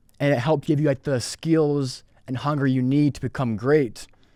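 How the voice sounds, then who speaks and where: A normal speaking voice moves at a moderate pace with fairly even intonation. The recording is very clean, with a silent background. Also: man. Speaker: sales representative. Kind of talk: podcast interview answer.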